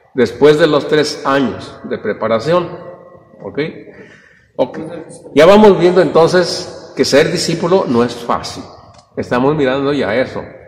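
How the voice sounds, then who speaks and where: A man's lively intonation at a fairly slow pace, with long, frequent pauses and noticeable background noise. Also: fairly high pitch for a man. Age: 70s. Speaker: Bible study teacher. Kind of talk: Bible study class. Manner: halting.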